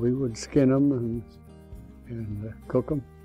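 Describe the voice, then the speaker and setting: With an American accent, a man talks at a fairly slow pace and ordinary pitch variation. Faint music sits in the background. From Ohio, USA. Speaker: elderly man telling his life story. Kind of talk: oral history, personal reminiscence. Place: home room.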